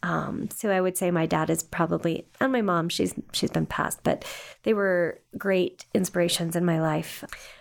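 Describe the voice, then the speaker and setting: With an ordinary speaking voice, a woman talks at a fairly low pitch and a moderate pace, her pitch varying normally and her loudness very even. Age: 50s. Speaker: adoption agency director. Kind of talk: interview. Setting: studio.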